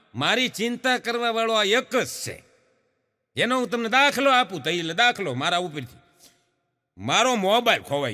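A man speaks in a raised, projected voice with a bright, sharp tone, high pitch, lively intonation and big swings in loudness. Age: 50s. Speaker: comedian. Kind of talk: stand-up.

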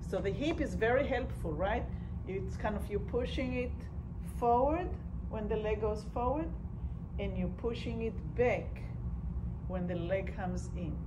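A woman talks at a fairly slow pace with long, frequent pauses. Noticeable background noise runs underneath. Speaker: movement instructor. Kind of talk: guided movement class, giving calm step-by-step cues. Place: hall. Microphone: camera far.

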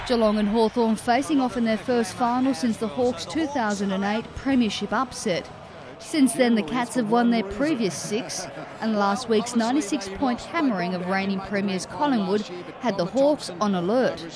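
Noticeable background noise sits behind a woman with an Australian accent. She talks at a moderate pace in a fairly high pitch with ordinary pitch variation. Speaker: sports reporter narrating match highlights. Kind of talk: scripted highlights narration over match footage. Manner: brisk, punchy voice-over delivery.

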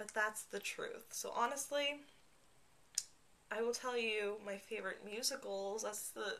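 At a fairly slow pace comes a plain, everyday voice. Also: woman. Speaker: vlogger. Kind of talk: casual talk to camera. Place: home room. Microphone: webcam.

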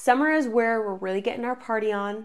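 The speaker is a woman. Her pitch is fairly high. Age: 20s. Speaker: podcast host. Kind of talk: casual monologue. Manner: animated.

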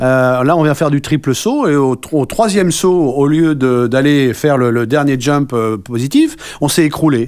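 With ordinary pitch variation, a man talks at a fairly high pitch. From France. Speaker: rugby club president; interviewee. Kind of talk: radio interview. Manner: hesitant, many fillers. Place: studio. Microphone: studio mic.

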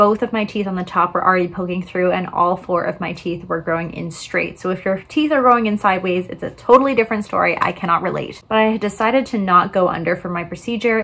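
A woman speaks very fast with hardly any pauses, her pitch varying in an ordinary way. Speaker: vlogger. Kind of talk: casual vlog chat. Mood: upbeat, chatty. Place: home room. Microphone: phone near.

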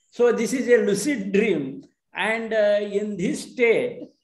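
A man talks at a very slow pace with a high pitch and ordinary pitch variation. Room echo is audible. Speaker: audience member. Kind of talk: discussion comment. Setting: video call. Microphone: video call.

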